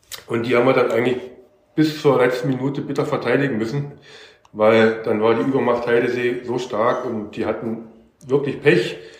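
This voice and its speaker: Audible room echo fills the space as a man speaks at a moderate pace. His pitch is medium and his intonation fairly even. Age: 50s. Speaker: amateur footballer. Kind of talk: casual interview. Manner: casual, filler-heavy.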